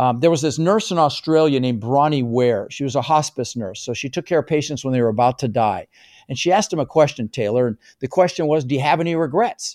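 A man at a fairly high pitch, talking at a very fast pace with lively intonation. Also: dry, close sound with no echo. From immigrant to the US, non-English-speaking country. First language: not English. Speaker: real estate investor and coach. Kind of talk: interview. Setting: video call. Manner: animated.

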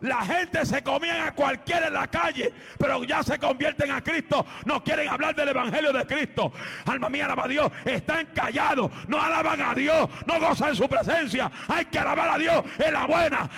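Shouting from a man at an extremely high pitch, animated in tone, at a moderate pace with ordinary pitch variation, over noticeable background noise. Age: 40s. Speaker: guest preacher. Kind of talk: sermon. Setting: church with congregation. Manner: loud.

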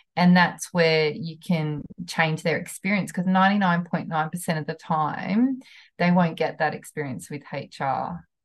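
With a New Zealand accent, a woman speaks at a very slow pace in a fairly low, somewhat breathy voice with ordinary pitch variation. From New Zealand, country town. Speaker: HR consultant. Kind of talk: interview.

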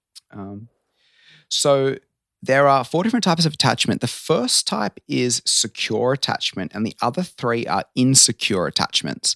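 In an Australian accent, a man with a medium pitch speaks at a moderate pace in a bright, sharp tone with lively intonation. The sound is dry and close with no echo, on a very clean recording with a silent background. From Australia, Sydney. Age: 30s. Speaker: transformational coach. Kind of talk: casual chat.

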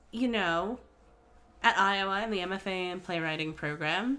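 The recording is very clean, with a silent background. A woman speaks at a fairly slow pace in a medium pitch, her tone animated, bright and sharp. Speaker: podcast host and actor. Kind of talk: casual interview.

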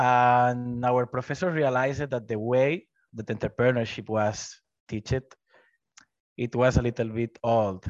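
A man speaks with a Spanish accent at medium pitch and with fairly even intonation. The sound is dry and close with no echo, over a quiet background. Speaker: business development representative for a tech platform. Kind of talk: webinar presentation. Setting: video call.

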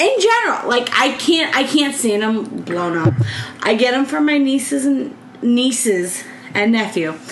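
A woman's high voice with an American accent, very wide pitch swings and a fairly slow pace, amid audible room echo and noticeable background noise. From US Midwest, southeast Michigan. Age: 30s. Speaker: podcast co-host. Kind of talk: casual chat.

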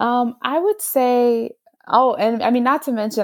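Here is a woman with an American accent and an ordinary speaking voice. She goes at a fairly slow pace with ordinary pitch variation. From Texas, Houston. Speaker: chemistry PhD student. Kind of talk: interview.

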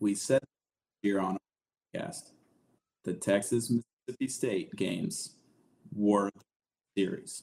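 Fairly low-pitched male voice with a Southern US accent, fairly slow with long, frequent pauses and ordinary pitch variation, in a dry, close sound with no echo. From Alabama, US South. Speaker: sports podcaster. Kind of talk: casual chat. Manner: animated.

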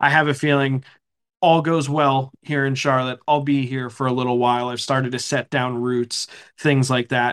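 With an American accent, a man speaks at a fairly quick pace. His medium-pitched voice has monotone, flat intonation. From eastern Pennsylvania. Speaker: hockey play-by-play broadcaster. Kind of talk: interview, casual chat.

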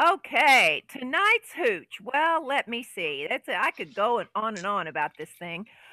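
A woman with a Southern US accent speaks at a fairly slow pace, her pitch swinging very widely. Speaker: podcast co-host. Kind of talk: casual chat with drinking and banter.

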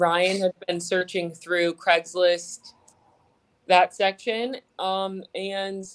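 The speech comes at a very slow pace with an American accent and fairly even intonation. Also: woman. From South Florida (Fort Lauderdale). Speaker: singer in a band. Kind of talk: interview.

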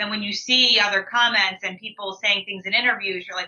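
The delivery comes at a fairly quick pace with monotone, flat intonation. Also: woman. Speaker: reality TV contestant. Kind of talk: casual interview chat.

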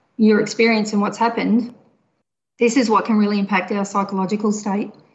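With an Australian accent, a woman speaks in a fairly high, somewhat breathy voice. Her intonation is monotone and flat. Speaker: mental health social worker.

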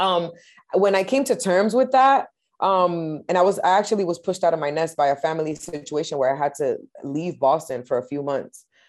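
A woman speaks at a fairly quick pace with a slight Spanish accent, her fairly low voice rising and falling with lively intonation over a quiet background. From Massachusetts, US. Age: 30s. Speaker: musician. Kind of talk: casual interview.

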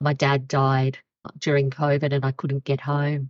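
In an Australian accent, a woman speaks at a moderate pace with a very deep, low pitch. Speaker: former pension and investment CEO. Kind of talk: interview. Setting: remote call.

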